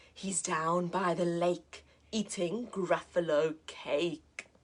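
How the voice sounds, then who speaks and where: Using a put-on character voice with a fairly low pitch, a woman speaks at a very slow pace. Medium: read story.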